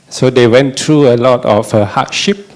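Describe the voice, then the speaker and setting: A man speaks at a medium pitch. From Malaysia, coastal village. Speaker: dharma teacher. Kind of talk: personal testimony.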